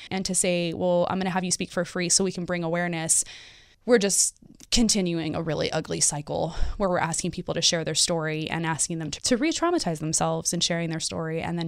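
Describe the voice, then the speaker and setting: A woman's fairly low-pitched, unremarkable speaking voice, with ordinary pitch variation and a fairly quick pace. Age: 30s. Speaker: former foster youth and advocate with a PhD. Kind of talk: interview. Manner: laughs often.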